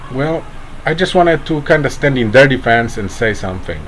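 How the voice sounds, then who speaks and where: A man with medium pitch speaks with a Polish accent. Noticeable background noise and audible room echo fill the recording. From Poland. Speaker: online commentator. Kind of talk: satirical monologue. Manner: halting, many fillers.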